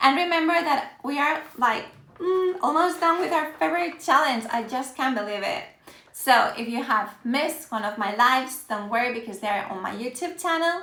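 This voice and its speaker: A woman's raised, projected voice, high in pitch, with an animated tone, lively intonation, moderate pace and audible room echo. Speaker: Spanish teacher. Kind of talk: live-stream language lesson. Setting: Instagram live stream. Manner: animated, encouraging.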